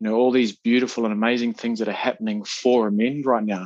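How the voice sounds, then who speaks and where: A man speaks with a New Zealand accent and fairly even intonation. The background is quiet. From Napier, New Zealand. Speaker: social worker and men's coach. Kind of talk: interview answer. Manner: quietly spoken.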